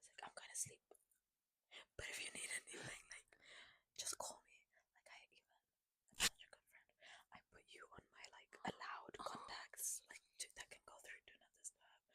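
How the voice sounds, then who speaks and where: Whispering at a moderate pace, a woman's loudness swings widely in a dry, close sound with no echo. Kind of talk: ASMR-style casual chat between two friends. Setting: shared single microphone, two people taking turns. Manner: soft-spoken, casual, chatty.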